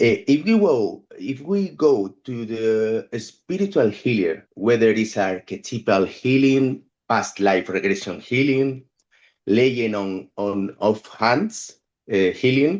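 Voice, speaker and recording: Speaking at a very slow pace, a man with a non-native accent uses a medium pitch and lively intonation. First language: not English. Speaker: photographic artist and musician. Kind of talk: reading prepared text in group discussion. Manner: halting.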